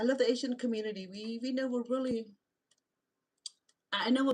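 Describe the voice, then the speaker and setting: A woman speaks in a strong Cambodian accent. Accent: strong Khmer accent in English. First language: Khmer. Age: 60s. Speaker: reality show personality and vlogger. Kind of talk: live-stream monologue. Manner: halting, frequent repetitions.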